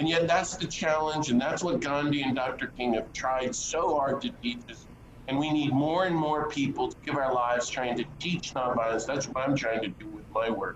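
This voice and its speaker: With an American accent, a man talks at a moderate pace in a fairly high pitch with ordinary pitch variation, hardly any pauses, and noticeable background noise. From US South, North Carolina. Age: 60s. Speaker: priest and peace activist. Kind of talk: interview conversation.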